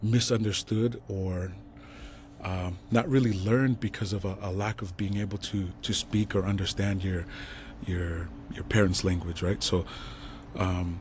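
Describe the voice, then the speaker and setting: A man with a Tongan accent speaks fairly slowly in a very deep, low, somewhat breathy voice with fairly even intonation and long, frequent pauses. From Salt Lake City, Utah (west side). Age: 40s. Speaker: entrepreneur. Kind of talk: casual interview.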